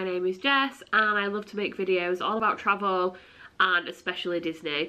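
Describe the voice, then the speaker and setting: A woman with a Yorkshire accent is heard in a very clean recording with a silent background. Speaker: travel vlogger and teacher. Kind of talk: casual vlog talk to camera. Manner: chatty, filler-heavy.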